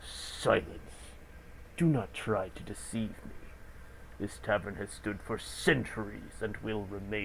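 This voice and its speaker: In a put-on character voice, a man speaks at a fairly low pitch and a fairly slow pace, with long, frequent pauses over clear background noise. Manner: spooky; stern, menacing.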